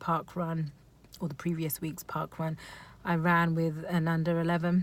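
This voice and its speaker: In a fairly low pitch and with flat, monotone intonation, a woman speaks at a moderate pace. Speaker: amateur runner vlogger. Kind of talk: casual vlog recap. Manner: stuttering, many ums and ahs.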